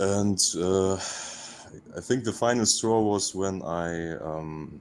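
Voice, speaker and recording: In a German accent, a man speaks at a very deep, low pitch with ordinary pitch variation. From Russia. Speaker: caller. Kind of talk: casual chat. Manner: halting.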